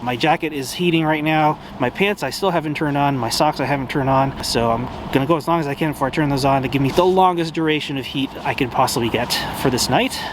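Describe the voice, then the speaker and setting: A man with a fairly high pitch talks at a very fast pace with ordinary pitch variation. Noticeable background noise comes through. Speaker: amateur astrophotographer. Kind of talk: casual vlog narration. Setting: outdoors at night.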